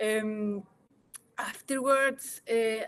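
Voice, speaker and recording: A woman speaks at a very slow pace with a high pitch. Her intonation stays fairly even. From Chile, Santiago. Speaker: founder, scientist. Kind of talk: interview. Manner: halting, many fillers and repeats.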